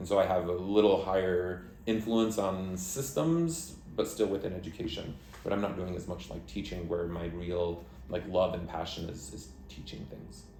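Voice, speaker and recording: A man's very deep, low voice with an American accent, audible room echo and noticeable background noise. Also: ordinary pitch variation, moderate pace. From United States. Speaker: country director of an education nonprofit. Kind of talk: interview.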